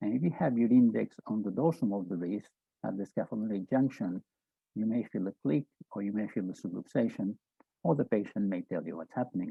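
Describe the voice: A man talks at a fairly quick pace and a fairly low pitch with lively intonation. His voice has vocal fry and a slightly husky edge, in a dry, close sound with no echo.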